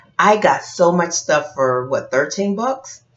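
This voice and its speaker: A woman with a fairly low pitch speaks at a fairly slow pace, her pitch swinging very widely. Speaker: teacher and video blogger. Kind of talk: casual vlog chat. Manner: chatty, conversational.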